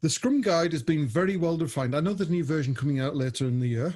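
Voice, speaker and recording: With a northeast English accent, a man talks at a very fast pace. His tone is dark, mellow and somewhat breathy, with ordinary pitch variation. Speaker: agile coach and trainer. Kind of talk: webinar presentation. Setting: video call. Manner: casual, conversational.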